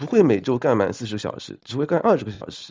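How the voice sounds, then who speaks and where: His pitch sits in the medium range, yet the man swings it very widely. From China. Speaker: accountant, former civil servant. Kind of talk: casual chat.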